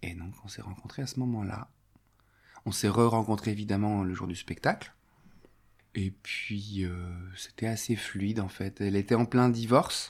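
In a very clean recording with a silent background, a man with a fairly low pitch speaks at a fairly slow pace with fairly even intonation, long, frequent pauses, and big swings in loudness. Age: 40s. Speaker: theatre and clown teacher. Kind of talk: testimony. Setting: at home. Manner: halting.

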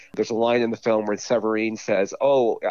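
A man with a Californian accent, medium pitch and monotone, flat intonation at a fairly quick pace, in a dry, close sound with no echo over a quiet background. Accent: Californian American. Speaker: film blogger guest. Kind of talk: casual film review interview. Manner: halting, with filler words and repeats.

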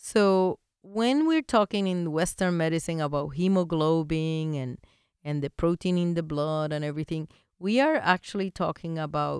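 A woman's fairly low-pitched voice with a Spanish accent, at a fairly slow pace and with ordinary pitch variation, in a dry, close sound with no echo and a very clean recording with a silent background. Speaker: veterinarian and acupuncture teacher, podcast host. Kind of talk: educational monologue. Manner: friendly, chatty, laughs often.

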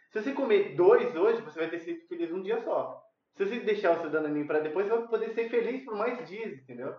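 A high-pitched man speaks at a very fast pace. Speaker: podcast co-host. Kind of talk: casual chat. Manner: halting.

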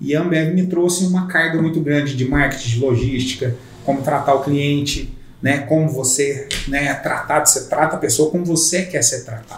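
The voice comes at a moderate pace with fairly even intonation, against noticeable background noise and audible room echo. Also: man, fairly high pitch for a man. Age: 40s. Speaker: real estate broker. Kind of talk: casual chat. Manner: halting.

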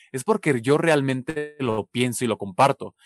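In an unremarkable speaking voice, a man talks at a fairly slow pace with ordinary pitch variation. The sound is dry and close with no echo, over a quiet background. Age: 20s. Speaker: social media content creator. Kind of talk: interview conversation.

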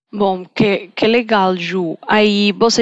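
The speaker has a Colombian accent and fairly even intonation. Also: woman. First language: Spanish (speaking Portuguese). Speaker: podcast host. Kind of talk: interview.

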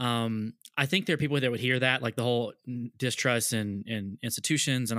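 In a very clean recording with a silent background and a dry, close sound with no echo, a man with an unremarkable speaking voice talks at a fairly quick pace, medium in pitch and fairly even in intonation. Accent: American. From US South. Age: 30s. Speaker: podcast host, youth pastor. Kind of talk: casual interview chat.

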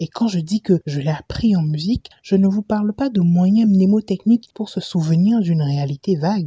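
Somewhat breathy and dark, mellow in tone, the voice moves at a moderate pace with ordinary pitch variation and hardly any pauses. The recording is dry and close, with no echo. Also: woman, medium pitch for a woman. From Benin. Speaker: podcast host. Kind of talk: reading aloud.

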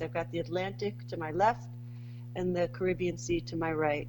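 In a New York accent, the voice moves through very wide pitch swings. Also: woman. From Bronx, New York. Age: 40s. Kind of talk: casual interview chat.

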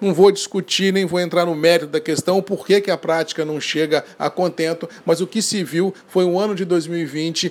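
With an animated tone, a man talks at a high pitch. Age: 50s. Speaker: coffee market commentator. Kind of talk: daily market and weather bulletin.

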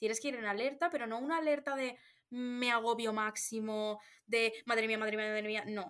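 A plain, everyday voice belongs to this woman, fairly high in pitch, with fairly even intonation at a moderate pace. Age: 20s. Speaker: podcast co-host. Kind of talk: casual chat.

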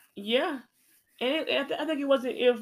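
A woman speaks with an American accent. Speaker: podcast co-host. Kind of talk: casual chat.

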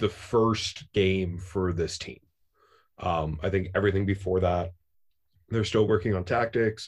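Against a quiet background, a man speaks with a very deep, low pitch and a somewhat breathy tone. His intonation is fairly even and his pace fairly slow. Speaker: podcast host and soccer fan. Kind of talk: casual chat.

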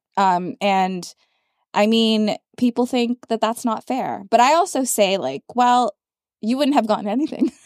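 A woman with a normal speaking voice talks at a fairly slow pace in a fairly high pitch with lively intonation, the sound dry and close with no echo. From Canada. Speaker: podcast host. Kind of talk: casual interview chat. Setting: studio.

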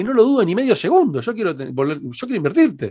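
Against a quiet background, a man speaks with an Argentine accent. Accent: Rioplatense Argentine Spanish. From Argentina (Rosario, raised in Buenos Aires). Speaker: digital marketing consultant and entrepreneur. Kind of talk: interview.

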